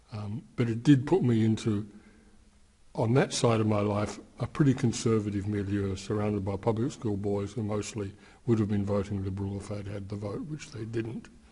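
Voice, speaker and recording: A man's fairly low, somewhat breathy voice, dark and mellow in tone, with fairly even intonation at a moderate pace. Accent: Australian. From Australia, Melbourne. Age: 70s. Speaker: anti-war activist. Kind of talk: interview. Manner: halting, many fillers.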